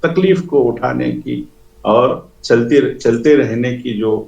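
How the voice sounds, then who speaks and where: Vocal fry marks a voice with a Telangana accent, heard with audible room echo. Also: man. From India, Andhra Pradesh. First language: Telugu (speaking Hindi). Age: 60s. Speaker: author. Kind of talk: interview. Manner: hesitant.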